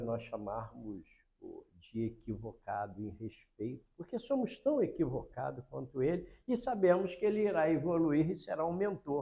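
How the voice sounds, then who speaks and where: With a dark, mellow tone and a somewhat breathy quality, a man speaks at a fairly slow pace, his pitch swinging very widely. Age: 80s+. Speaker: spiritist lecturer. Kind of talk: religious lecture.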